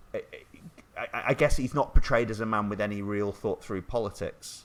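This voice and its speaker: Speaking fairly quickly with fairly even intonation, a man with a northern English accent keeps to a fairly low pitch. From northern England, half Scottish. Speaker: podcast host. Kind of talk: casual chat. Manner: halting.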